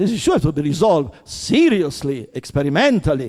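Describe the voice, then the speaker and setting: This man talks at a very fast pace, his pitch swinging very widely. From Italy. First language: Italian. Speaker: theoretical physicist. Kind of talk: heated conference discussion. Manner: halting, many repetitions and false starts; impassioned.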